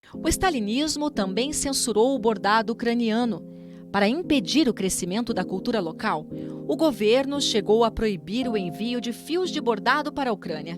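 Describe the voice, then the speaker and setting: Music plays in the background as a woman speaks at a moderate pace. Her pitch is fairly high and her intonation lively. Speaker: documentary narrator. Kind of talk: documentary narration.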